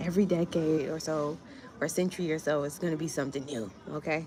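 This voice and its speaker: The speaker has an American accent and an animated tone, with ordinary pitch variation. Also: woman. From US, Miami. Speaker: grant writer and small business coach. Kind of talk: livestream chat. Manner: casual, animated.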